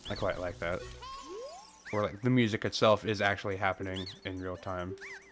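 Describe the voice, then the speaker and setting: Music plays in the background as a man talks at a moderate pace. His voice is fairly low, with fairly even intonation. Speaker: video game streamer. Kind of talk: live gameplay commentary. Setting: live stream. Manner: casual, conversational.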